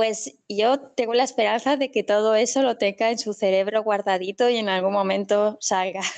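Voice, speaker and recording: An unremarkable speaking voice moves at a moderate pace with very even loudness and fairly even intonation. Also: woman, fairly high pitch for a woman. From Spain, Castellón. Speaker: university English teacher, children's bookshop owner. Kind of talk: casual interview.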